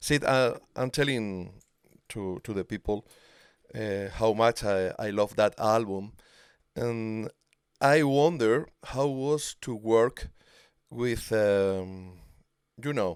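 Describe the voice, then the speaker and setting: Speaking with a Spanish accent at a medium pitch and ordinary pitch variation, a man goes very slowly with long, frequent pauses. The recording is very clean, dry and close, with a silent background and no echo. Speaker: music show host. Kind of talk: interview with translation. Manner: halting in English.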